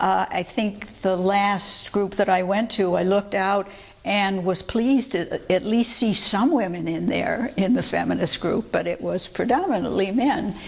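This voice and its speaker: Over noticeable background noise, a woman with a medium pitch talks at a fairly slow pace, with ordinary pitch variation and hardly any pauses. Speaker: biblical scholar, lecturer. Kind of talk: public lecture. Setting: church lecture with audience.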